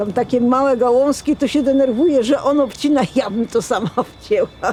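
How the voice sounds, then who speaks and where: Pitched high, a woman talks at a moderate pace with ordinary pitch variation. Her loudness stays very even. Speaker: retiree. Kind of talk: documentary interview.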